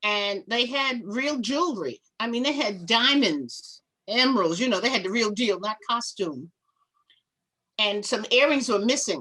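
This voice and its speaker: Loud and bright with a sharp tone, a woman speaks at a fairly high pitch. Her delivery is animated, with lively intonation. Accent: American. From New York (Harlem). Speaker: fashion show producer. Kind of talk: interview.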